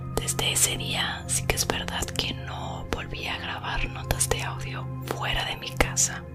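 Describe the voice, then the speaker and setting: Over music in the background, a woman is whispering. She goes at a fairly slow pace with hardly any pauses. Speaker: ASMR creator. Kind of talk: casual talk to camera. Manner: whispered.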